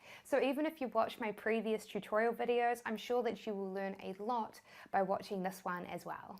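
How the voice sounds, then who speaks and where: Someone with a New Zealand accent speaks at a fairly quick pace in a very clean recording with a silent background. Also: woman, fairly high pitch for a woman, ordinary pitch variation. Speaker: online business educator. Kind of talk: tutorial.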